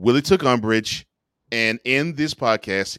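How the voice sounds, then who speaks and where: A man with a fairly low pitch speaks with lively intonation in an unremarkable speaking voice. The sound is dry and close with no echo, on a very clean recording with a silent background. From Houston, Texas. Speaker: sports talk show host. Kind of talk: casual chat.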